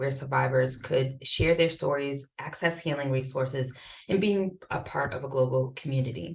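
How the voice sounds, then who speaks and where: A woman with a slight Boston accent talks at a moderate pace. Her voice is somewhat breathy, with a very deep, low pitch. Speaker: event moderator. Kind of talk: reading panelist introductions. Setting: Zoom video call.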